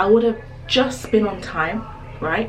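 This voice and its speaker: Over background music and audible room echo, a woman speaks at a medium pitch. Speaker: lifestyle vlogger. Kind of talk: casual vlog chat. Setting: public toilets. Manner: animated.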